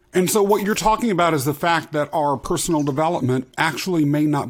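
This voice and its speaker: Lively intonation marks this man's speech. He moves at a fairly quick pace. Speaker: podcast host. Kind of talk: interview conversation, upbeat. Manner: energetic, enthusiastic.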